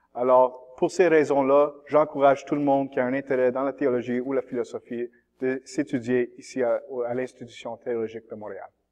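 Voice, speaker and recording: The speaker uses an English accent and a moderate pace with fairly even intonation. Loudness swings a lot. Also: man, medium pitch for a man. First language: English (speaking French). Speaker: seminarian, theology student. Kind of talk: testimony. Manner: halting.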